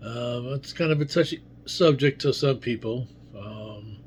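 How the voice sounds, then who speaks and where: His pitch sits in the middle range for a man. There is a somewhat breathy quality to this male voice. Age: 70s. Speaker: video blogger. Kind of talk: casual monologue. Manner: halting, with many fillers.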